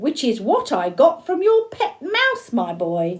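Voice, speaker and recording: A woman's put-on character voice, high-pitched, with very wide pitch swings. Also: fairly slow pace. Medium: read story. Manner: stern, precise.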